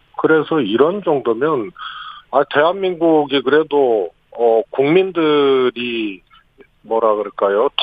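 A man's fairly high voice at a very slow pace, with lively intonation and very even loudness. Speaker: former presidential political aide. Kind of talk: radio interview. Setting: phone call.

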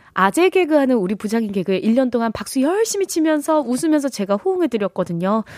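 In a dry, close sound with no echo, a woman speaks at a very fast pace in a dark, mellow tone. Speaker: weather caster and radio co-host. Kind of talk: casual radio chat. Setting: radio studio. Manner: put-on performed voice.

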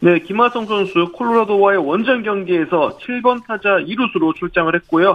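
Hardly any pauses break up the speech, which runs at a moderate pace. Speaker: baseball journalist. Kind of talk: radio sports news report.

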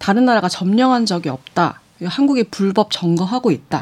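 A woman speaks at a fairly quick pace. Her medium-pitched voice moves through very wide pitch swings. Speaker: news reporter. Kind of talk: news discussion.

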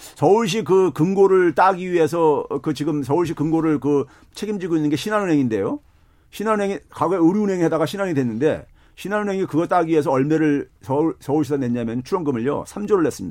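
Over a quiet background, a man with an unremarkable speaking voice talks at a fairly quick pace, his pitch fairly high and his intonation lively. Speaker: economics professor. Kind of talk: casual chat.

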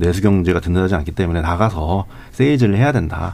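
The speaker has a dark, mellow tone and ordinary pitch variation, talking at a fairly quick pace. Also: man. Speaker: newspaper reporter. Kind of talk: radio panel discussion.

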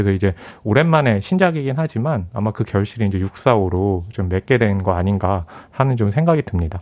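A man with an ordinary speaking voice talks at a moderate pace in a fairly low pitch, his intonation lively. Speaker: film critic. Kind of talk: radio film review discussion. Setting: radio studio.

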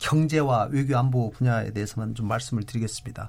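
This man's delivery is somewhat breathy. He moves along at a fairly quick pace. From South Korea, North Jeolla. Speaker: politician, member of parliament. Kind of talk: political debate.

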